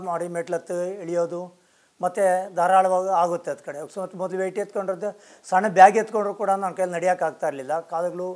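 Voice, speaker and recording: In a quiet background, a man speaks with a high pitch and fairly even intonation. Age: 60s. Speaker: customer giving testimonial. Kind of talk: testimony. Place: shop.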